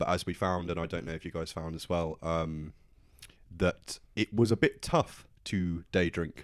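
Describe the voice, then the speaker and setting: A man with a British accent talks at a fairly slow pace in a very deep, low voice. The recording is very clean and the background silent. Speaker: podcast co-host. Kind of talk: casual chat.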